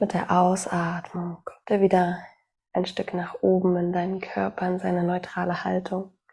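In a calm, soothing, dark and mellow tone, a woman speaks at medium pitch, somewhat breathy, with monotone, flat intonation. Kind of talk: guided meditation. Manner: slow, soft-spoken, calm and soothing.

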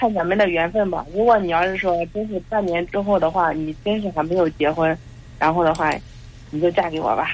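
A woman talks at a fairly quick pace in an ordinary speaking voice. Her pitch sits fairly low and her intonation stays fairly even. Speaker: caller seeking relationship advice. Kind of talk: phone-in counseling conversation.

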